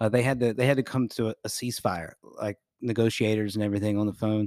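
Speaking fairly quickly with an American accent, a man uses an ordinary speaking voice and fairly even intonation, captured in a very clean, dry, close recording with a silent background and no echo. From Jacksonville area, Florida. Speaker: podcast co-host. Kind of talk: casual chat.

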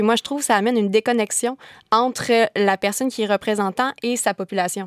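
Fairly quick speech with fairly even intonation, dry and close with no echo, on a very clean recording with a silent background. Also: woman. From Quebec, Kamouraska. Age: 20s. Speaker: law student. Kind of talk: panel discussion.

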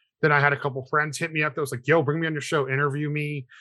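At a fairly quick pace, a man with an American accent speaks in a bright, sharp tone with monotone, flat intonation. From California. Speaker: music promoter. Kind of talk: casual chat.

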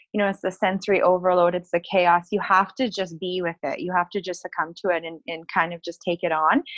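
With an Albertan accent, the speaker talks at a fairly quick pace with hardly any pauses and fairly even intonation. The sound is dry and close, with no echo. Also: woman, medium pitch for a woman. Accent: Canadian (Alberta). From northern Alberta, Canada. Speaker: podcast co-host. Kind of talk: casual interview. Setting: call.

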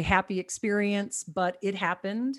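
Fairly slow and medium in pitch, this woman has an ordinary speaking voice. Her intonation stays fairly even. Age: 50s. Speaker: cannabis wellness coach. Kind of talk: casual interview. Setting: remote from home.

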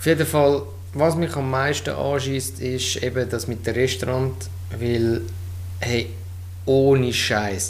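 A man speaks at a very slow pace with long, frequent pauses. The room echo is audible and the background noise noticeable. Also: medium pitch for a man, lively intonation. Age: 30s. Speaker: podcast co-host, streamer. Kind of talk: casual chat. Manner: halting.

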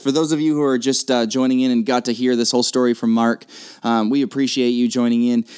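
Here a man speaks at a very fast pace. His medium-pitched delivery is monotone and flat. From New England. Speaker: podcast host. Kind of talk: casual chat.

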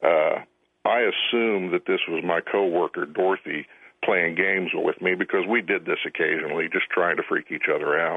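A man's loudness stays very even as he speaks at a moderate pace. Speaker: radio call-in caller. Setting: phone.

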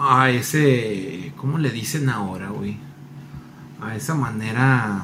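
A man speaks with a Mexican accent over noticeable background noise, with audible room echo. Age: 30s. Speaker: podcast co-host. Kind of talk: casual chat.

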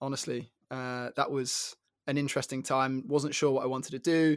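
The recording is very clean, with a silent background. A man speaks in a flat, monotone way. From London. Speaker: former tennis player and podcaster. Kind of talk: casual chat.

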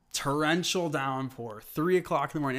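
In a very clean recording with a silent background, a man with an American accent talks at a fairly high pitch. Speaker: artist. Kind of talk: casual interview, personal storytelling. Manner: halting, many fillers.

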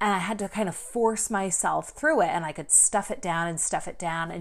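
She talks with lively intonation at a moderate pace. This woman has a plain, everyday voice pitched in the medium range. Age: 30s. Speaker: podcast host and life coach. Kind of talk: solo podcast monologue. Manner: casual with filler words.

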